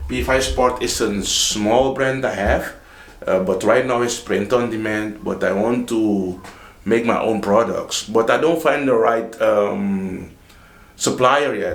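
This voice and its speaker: A man's Dutch accent at a fairly slow pace, with audible room echo and noticeable background noise. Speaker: vlogger. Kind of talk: casual vlog talk. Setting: home office, early morning. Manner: halting, with repetitions.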